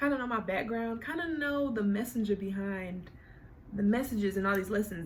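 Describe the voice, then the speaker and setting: An animated woman with an American accent at a fairly quick pace, with noticeable background noise. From Oklahoma City, Oklahoma. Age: 20s. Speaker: YouTuber. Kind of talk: casual storytime monologue. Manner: animated, conversational.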